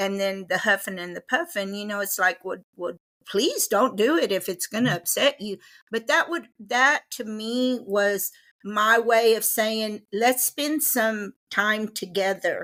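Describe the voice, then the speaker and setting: A woman with a Texan accent speaks at a fairly slow pace, her fairly high pitch bright and sharp in tone. Her pitch varies in an ordinary way, and the recording is very clean with a silent background. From Texas, Waco. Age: 60s. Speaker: guest, host's mother. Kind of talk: casual chat.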